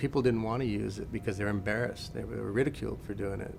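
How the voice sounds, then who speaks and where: A man with an American accent speaks at a fairly low pitch with vocal fry. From Western Oregon, USA. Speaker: language and traditional arts instructor. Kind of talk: interview answer.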